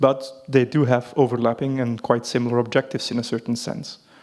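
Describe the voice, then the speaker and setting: A man speaks at a fairly quick pace in a medium pitch. Noticeable background noise runs underneath. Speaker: legal and policy advisor at environment ministry. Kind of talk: conference presentation. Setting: conference hall with audience.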